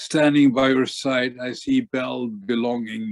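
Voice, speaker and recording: A man talks with fairly even intonation. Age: 70s. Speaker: poet. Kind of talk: poetry reading.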